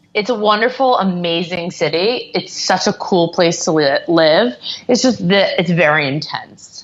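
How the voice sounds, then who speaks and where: Noticeable background noise surrounds a woman with a medium-pitched voice. She talks at a fairly slow pace with ordinary pitch variation. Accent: American. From US South, Atlanta. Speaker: entrepreneur, company founder. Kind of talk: interview.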